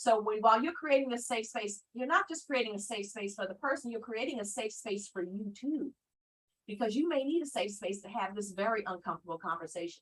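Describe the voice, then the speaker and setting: The voice is somewhat breathy, with lively intonation and a fairly quick pace. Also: woman, fairly high pitch for a woman. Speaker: mental health educator. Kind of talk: online training presentation. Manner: fast.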